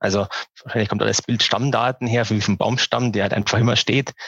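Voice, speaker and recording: A man's fairly low, monotone voice with flat intonation, heard in a dry, close sound with no echo. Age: 40s. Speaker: online retail company founder and managing director. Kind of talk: interview. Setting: early morning recording. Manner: halting, many filler sounds.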